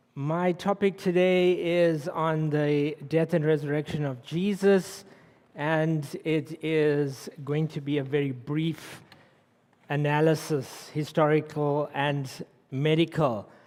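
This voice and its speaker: At a very slow pace, a man speaks in a South African accent with fairly even intonation. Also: fairly high pitch for a man. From South Africa, Durban. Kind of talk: public lecture.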